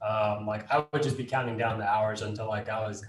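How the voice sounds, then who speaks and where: Here is a man with an unremarkable speaking voice and an American accent. He talks at a medium pitch and a fairly quick pace. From Dallas, Texas, after early childhood in Los Angeles. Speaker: real estate investor. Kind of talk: casual interview.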